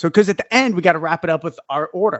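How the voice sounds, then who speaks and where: A man is speaking. He has a slight New York accent. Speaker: podcast co-host. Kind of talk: casual chat.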